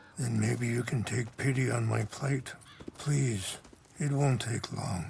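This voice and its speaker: A man's raspy, put-on character voice at medium pitch, with very even loudness and a fairly slow pace. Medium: video game. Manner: soft-spoken, measured, contemplative.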